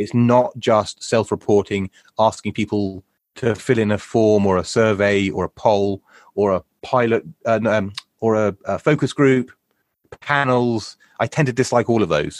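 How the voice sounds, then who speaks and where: A man's fairly low voice in a British accent, moderate pace, ordinary pitch variation, dry and close with no echo, quiet background. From Britain. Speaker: UX consultant. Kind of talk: interview. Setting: video call.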